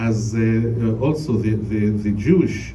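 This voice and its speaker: Speaking at a fairly slow pace, a man with a Palestinian accent keeps a medium pitch with ordinary variation amid audible room echo and noticeable background noise. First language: Arabic. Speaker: priest. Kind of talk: panel talk to a congregation. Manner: halting, many fillers.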